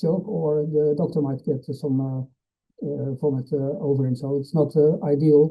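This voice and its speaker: A man's fairly high, somewhat breathy voice carries fairly even intonation. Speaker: veterinary internal medicine specialist. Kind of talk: lecture. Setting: webinar. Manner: fast; hesitant, many uh fillers.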